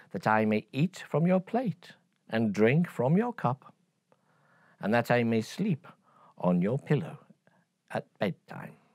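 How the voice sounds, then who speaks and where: Putting on a character voice, a man speaks fairly slowly with a creaky, medium-pitched sound and long, frequent pauses. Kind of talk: bedtime story. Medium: read story.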